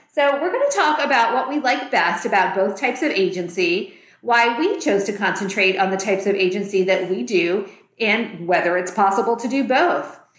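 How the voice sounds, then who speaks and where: At a moderate pace, a woman with a normal speaking voice talks at a medium pitch, with lively intonation and very even loudness. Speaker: real estate agent and podcast host. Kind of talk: podcast discussion, casual conversation.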